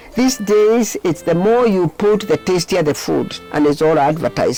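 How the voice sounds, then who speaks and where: A woman speaks at a moderate pace with lively intonation. Music plays behind her. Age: 80s+. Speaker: counseling psychologist. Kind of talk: interview answer.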